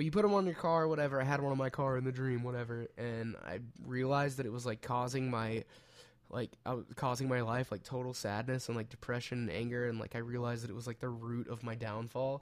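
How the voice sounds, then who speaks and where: Speaking at a very fast pace, a man with a medium pitch and ordinary pitch variation delivers his words in an animated tone. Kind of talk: casual chat. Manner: joking, animated.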